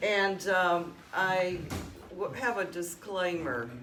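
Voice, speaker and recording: A woman speaks at a medium pitch with a Southern US accent. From Alabama. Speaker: oral history interviewer. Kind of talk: interview questions and reminiscence.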